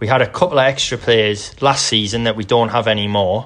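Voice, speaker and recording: This is a normal speaking voice at a moderate pace. The intonation is fairly even. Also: man. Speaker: guest, football fan. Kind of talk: casual banter, football podcast. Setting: remote recording from separate building.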